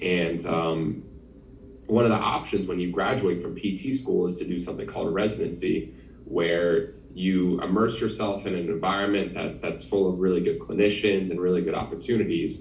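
With an American accent, a man talks in a very deep, low voice with ordinary pitch variation, and audible room echo surrounds him. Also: moderate pace. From New Jersey. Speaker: physical therapist. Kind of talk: casual chat.

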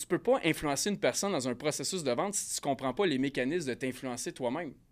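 A man's fairly high-pitched voice in a Quebec accent, at a fairly quick pace with lively intonation, on a very clean recording with a silent background. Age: 30s. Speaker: sales coach and firefighter. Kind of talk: casual interview.

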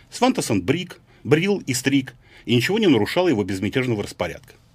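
A man with a medium-pitched voice, a fairly quick pace and very wide swings in pitch. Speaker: writer. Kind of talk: reading aloud. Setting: studio.

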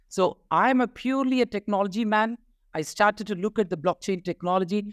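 The sound is dry and close with no echo as a man speaks with lively intonation in a very clean recording against a silent background. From India. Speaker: crypto company CEO. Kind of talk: casual interview. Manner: passionate, animated.

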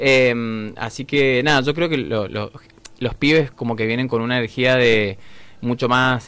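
Pitch varies in an ordinary way at a fairly slow pace. Noticeable background noise runs underneath. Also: man. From Argentina, Mendoza. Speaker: rock musician. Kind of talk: interview. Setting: studio.

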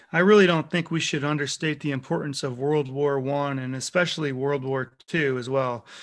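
With an American accent, a man speaks at a moderate pace in a plain, everyday voice, fairly high in pitch and fairly even in intonation. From New York. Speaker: chef, podcast co-host. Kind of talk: casual chat.

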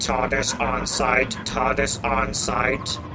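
A man talks at a very slow pace. Loud background noise runs behind him. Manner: flat, mechanical, repetitive.

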